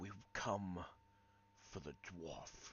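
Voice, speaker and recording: Over clear background noise, a man whispers breathily in a put-on character voice. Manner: whispering.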